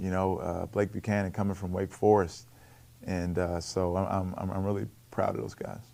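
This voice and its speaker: A man with a Baltimore accent, fairly low pitch, dark and mellow tone, monotone flat intonation and a moderate pace. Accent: Baltimore American English. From Baltimore, US. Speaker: college basketball coach. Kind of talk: interview on coach's show. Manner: repeats words, occasional blocks.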